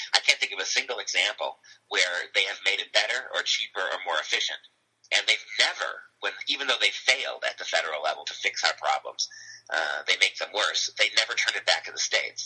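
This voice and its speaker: A man at a fairly quick pace with a Cleveland accent. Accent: Midwestern American (Cleveland). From Ohio, Cleveland. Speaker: English professor. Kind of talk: interview.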